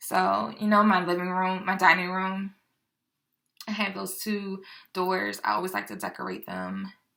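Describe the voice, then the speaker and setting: A woman speaks quietly at a fairly slow pace, leaving long, frequent pauses. Her loudness swings widely. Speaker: home decor YouTuber. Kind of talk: haul video, casual chat to camera. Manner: perceived as too quiet by a viewer.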